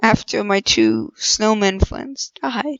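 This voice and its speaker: This woman speaks at a very slow pace. Her pitch varies in an ordinary way. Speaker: gaming YouTuber. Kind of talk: gameplay commentary. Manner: casual, rambling.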